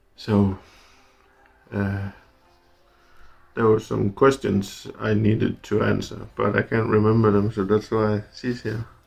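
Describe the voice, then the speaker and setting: At a fairly slow pace, the speaker uses monotone, flat intonation with long, frequent pauses as music plays in the background. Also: man, fairly low pitch for a man. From Denmark. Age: 30s. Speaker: truck driver. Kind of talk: casual interview. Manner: halting.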